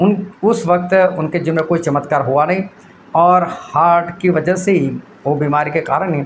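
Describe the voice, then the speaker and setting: Light background noise sits behind a man who speaks at a fairly slow pace in a fairly high pitch. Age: 50s. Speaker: preacher. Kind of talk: sermon. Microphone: phone near.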